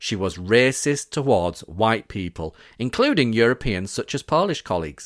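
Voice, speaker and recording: On a very clean recording with a silent background and a dry, close sound with no echo, a man at medium pitch talks at a fairly quick pace with very wide pitch swings. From Yorkshire, northern England. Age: 40s. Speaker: podcast host. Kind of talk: personal testimony narration.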